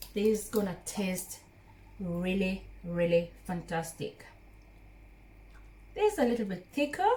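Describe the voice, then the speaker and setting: A woman's warm, medium-pitched voice at a fairly slow pace, with long, frequent pauses, big swings in loudness, ordinary pitch variation and noticeable background noise. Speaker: cooking vlogger. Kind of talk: cooking tutorial. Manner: warm, chatty.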